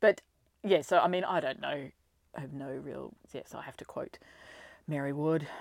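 A woman with an Australian accent talks in a very deep, low pitch with vocal fry and ordinary pitch variation. Her moderate pace is broken by long, frequent pauses, and her loudness swings widely. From Australia, Ballarat (Victoria). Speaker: school leader and teacher. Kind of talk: casual interview.

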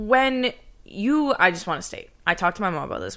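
On a very clean recording with a silent background, a woman talks at a fairly quick pace in an animated tone with lively intonation. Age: 20s. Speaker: podcast co-host. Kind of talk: casual chat.

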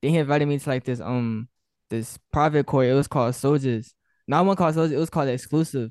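Against a quiet background, a man with a fairly high voice talks at a very fast pace with ordinary pitch variation. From Arkansas, Little Rock. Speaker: rapper, collective member. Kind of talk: casual interview. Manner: hesitant, filler-heavy.

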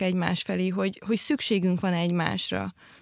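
A woman at a fairly quick pace, in a dry, close sound with no echo on a very clean recording with a silent background. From rural Hungary. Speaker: podcast host. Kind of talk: casual chat. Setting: studio.

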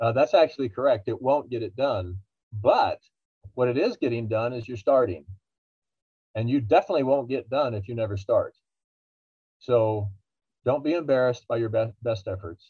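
The speaker sounds somewhat breathy, with ordinary pitch variation and a moderate pace broken by long, frequent pauses. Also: man, medium pitch for a man. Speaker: financial researcher and author. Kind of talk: interview, explanatory.

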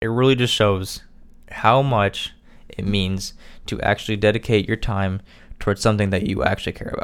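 In a very clean recording with a silent background, a man with a Midwestern US accent speaks in a fairly low pitch with fairly even intonation. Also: moderate pace. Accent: US Midwest. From Indiana. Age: 20s. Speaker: podcast host. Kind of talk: casual monologue. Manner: hesitant, filler-heavy.

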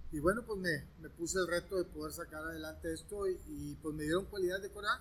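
A man speaks at a moderate pace. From northern Mexico, Monterrey. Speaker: former college football quarterback. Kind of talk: interview. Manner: hesitant, many fillers and repetitions.

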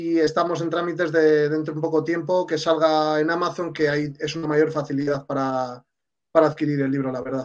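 A man with a fairly high voice and a Castilian accent speaks at a fairly quick pace in a monotone, flat intonation. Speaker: sports journalist. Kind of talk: casual chat.

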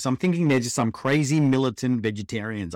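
With an Australian accent, a man talks at a very fast pace. His pitch is medium and his intonation lively. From Australia, Melbourne. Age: 40s. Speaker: podcast host sharing his cancer story. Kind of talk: personal testimony monologue. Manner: casual, conversational.

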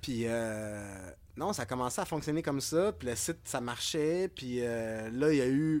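With lively intonation and a plain, everyday voice, a man at medium pitch speaks at a fairly slow pace. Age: 40s. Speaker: clothing brand co-founder. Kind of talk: casual interview chat. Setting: music rehearsal studio.

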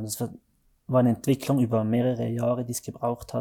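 In a very clean recording with a silent background, a man with a dark, mellow tone speaks fairly quickly in a flat monotone. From Switzerland, Valais (Zermatt). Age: 30s. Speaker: mountain guide and speed mountaineer. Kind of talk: interview. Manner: halting, many fillers.

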